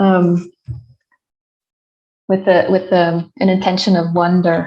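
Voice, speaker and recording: Somewhat breathy, with a dark, mellow tone, a woman at a medium pitch speaks at a fairly slow pace in a flat, monotone way. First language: not English. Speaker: career coach. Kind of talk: casual chat. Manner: halting.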